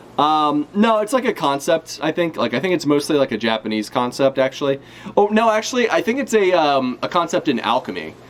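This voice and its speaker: A man's fairly high voice at a fairly quick pace, very even in loudness, with very wide pitch swings. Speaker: streamer reacting to manga chapter. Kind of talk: live reaction stream, casual chat. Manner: casual, hesitant with many fillers.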